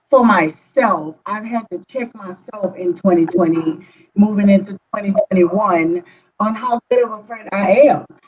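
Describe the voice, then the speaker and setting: With a Louisiana accent, a woman talks at a fairly slow pace using lively intonation. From southern Louisiana. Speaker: therapist. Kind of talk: casual chat.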